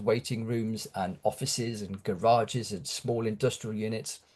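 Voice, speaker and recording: A man with a British accent, medium pitch and a fairly slow pace. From UK. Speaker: horror author. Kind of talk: interview. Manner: halting, many fillers.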